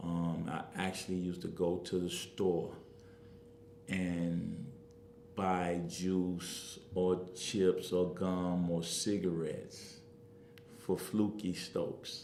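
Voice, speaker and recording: At a very slow pace and with fairly even intonation, the speech comes through with audible room echo. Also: man, very deep, low pitch for a man. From Chicago, South Side (Englewood). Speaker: community activist and political candidate. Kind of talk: interview.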